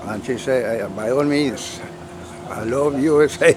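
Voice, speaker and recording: A man with a medium-pitched voice speaks fairly slowly against noticeable background noise. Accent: Colombian. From Colombia, Cali. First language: Spanish. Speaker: model sailboat club member. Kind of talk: casual interview. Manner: halting.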